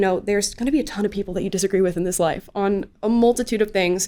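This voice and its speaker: A woman with an American accent at a very fast pace, medium in pitch, with ordinary pitch variation. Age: 20s. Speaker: political commentator. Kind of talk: casual interview.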